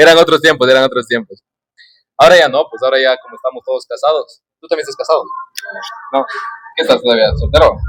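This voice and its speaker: A man talks at a very fast pace, yet with long, frequent pauses. His loudness swings widely. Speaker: podcast host. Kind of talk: casual chat. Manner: animated.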